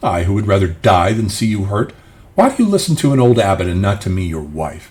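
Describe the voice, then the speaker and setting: Putting on a character voice, a man speaks fairly quickly at a fairly low pitch. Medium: read story. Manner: soft-spoken.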